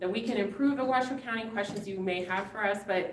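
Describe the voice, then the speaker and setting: The speaker has an American accent and ordinary pitch variation. Audible room echo and noticeable background noise come through. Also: woman. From Reno, Nevada. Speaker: county commissioner, political candidate. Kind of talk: debate opening statement.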